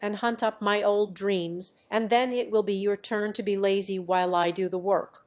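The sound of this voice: An unforced reading voice carries fairly even intonation.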